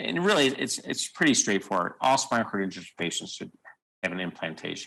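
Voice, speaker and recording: A man talks at a very fast pace with a bright, sharp tone. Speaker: surgeon. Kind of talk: lecture. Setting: video call.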